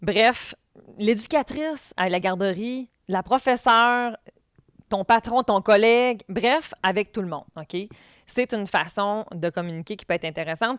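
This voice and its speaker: With a Quebec accent, the speaker goes at a fairly slow pace with lively intonation and big swings in loudness, in a very clean, dry, close recording with a silent background and no echo. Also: woman, fairly high pitch for a woman. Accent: Québécois French. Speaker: podcast host, former youth protection worker. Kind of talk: educational podcast talk. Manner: intense, animated.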